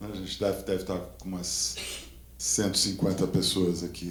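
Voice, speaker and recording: There is vocal fry in this voice, delivered at a moderate pace with audible room echo. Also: man. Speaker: conference moderator. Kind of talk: event moderation.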